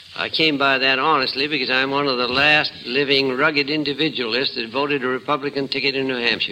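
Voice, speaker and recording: Over noticeable background noise, a man rattles along at a very fast pace with hardly any pauses, fairly high pitch, and monotone, flat intonation. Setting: old radio broadcast.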